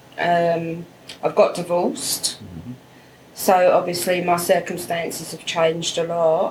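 Her loudness swinging widely, a woman speaks at a fairly slow pace with a fairly low pitch. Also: ordinary pitch variation. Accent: English. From England. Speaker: immigrant guest. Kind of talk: interview.

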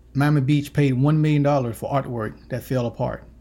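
Somewhat breathy speech with an American accent and fairly even intonation. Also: man. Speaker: podcast host. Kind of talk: scripted intro and news reading.

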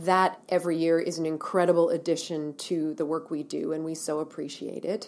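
A woman talks at a fairly quick pace with hardly any pauses. Her pitch is fairly low and her intonation fairly even. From Ontario, Canada. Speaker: women's shelter director. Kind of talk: interview.

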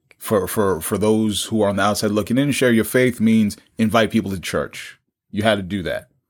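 In a very clean recording with a silent background, a man with a normal speaking voice talks at a fairly quick pace, his fairly low pitch moving with fairly even intonation. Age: 40s. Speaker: podcast host. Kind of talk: casual chat.

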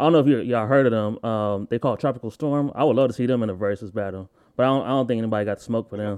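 The speaker is a man with a medium pitch. He talks at a very fast pace over a quiet background. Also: ordinary pitch variation. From Akron, Ohio. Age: 30s. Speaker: podcast host. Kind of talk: casual interview chat. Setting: video call.

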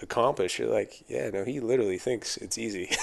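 The background stays quiet. Here a man delivers his words at a fairly quick pace. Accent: American. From Southern California, Thousand Oaks. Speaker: firefighter. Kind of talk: casual chat.

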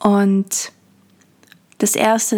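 In a calm, soothing tone, a somewhat breathy woman speaks at medium pitch with monotone, flat intonation. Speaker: podcast host and poet. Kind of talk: poetry reading, meditative. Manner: slow, calm, soothing, lyrical; warm, intimate.

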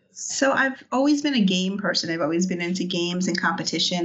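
With an American accent and a fairly low pitch, a woman talks at a fairly quick pace amid audible room echo and noticeable background noise. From New York City, Brooklyn. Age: 50s. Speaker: event organizer. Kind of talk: interview.

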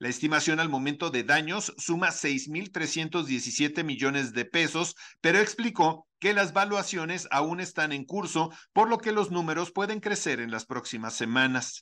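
In a quiet background, a man with an unremarkable speaking voice talks at a fairly high pitch with lively intonation. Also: fairly slow pace. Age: 50s. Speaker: news radio host. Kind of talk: news reading.

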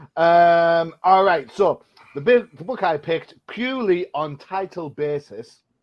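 A man with a British accent speaks at a fairly slow pace. His voice is high and his intonation is lively. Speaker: comic book podcast host. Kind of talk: casual chat.

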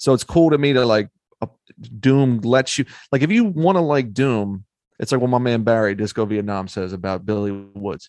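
Lively intonation marks an ordinary speaking voice with an American accent at a moderate pace, with a dry, close sound with no echo and a quiet background. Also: man. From Philadelphia. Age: 30s. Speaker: rapper and podcaster. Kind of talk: casual chat.

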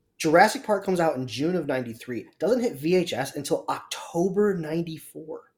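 Animated and high-pitched, a man speaks at a fairly quick pace with lively intonation and hardly any pauses. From Canada, Toronto area. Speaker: podcast co-host for news segment. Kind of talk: casual chat.

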